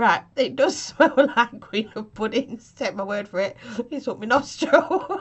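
A woman with an English accent, lively intonation and a fairly slow pace. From England. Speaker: vape reviewer. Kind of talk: product review. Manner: laughing. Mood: cheerful, chatty. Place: home room. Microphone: webcam.

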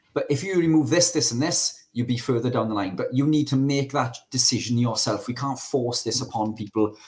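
The speaker talks at a fairly quick pace with a Welsh accent and hardly any pauses. The voice is somewhat breathy, with ordinary pitch variation. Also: man. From Wales. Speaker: carnivore diet advocate; podcast guest or co-host. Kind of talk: casual chat. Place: home room. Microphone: studio mic.

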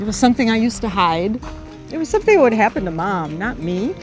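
Very fast speech with very wide pitch swings over music in the background. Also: woman. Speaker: grandmother. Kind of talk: customer testimonial.

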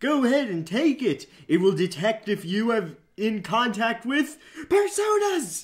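A fairly high-pitched, put-on character voice at a moderate pace. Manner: manic, excitable.

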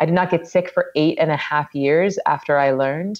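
A woman speaks low for a woman in a slightly mellow tone.

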